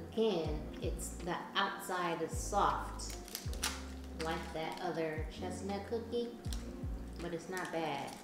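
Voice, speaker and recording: With clear music in the background and audible room echo, a woman speaks at a very slow pace with long, frequent pauses. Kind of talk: casual vlog chat. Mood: relaxed, mildly unimpressed. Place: home room.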